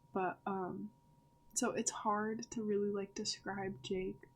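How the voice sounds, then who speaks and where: This woman speaks at a medium pitch with vocal fry. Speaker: author discussing her book characters. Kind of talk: casual vlog talk. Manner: stuttering today; hesitant, many fillers.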